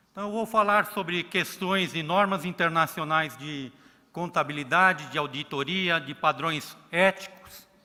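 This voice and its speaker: A man's high-pitched voice at a fairly slow pace, with ordinary pitch variation and big swings in loudness. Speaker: accounting regulator. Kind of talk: conference talk.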